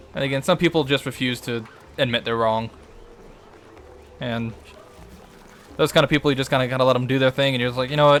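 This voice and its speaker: Speaking very fast yet with long, frequent pauses, a man with an American accent keeps a medium pitch and fairly even intonation. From US South, Louisiana. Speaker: game streamer. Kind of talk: casual live-stream gameplay chat.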